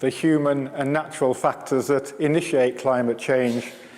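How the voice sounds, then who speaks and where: His intonation fairly even, a man speaks at a fairly slow pace. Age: 60s. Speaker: climate science professor. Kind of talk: public lecture. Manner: halting, many repeated words.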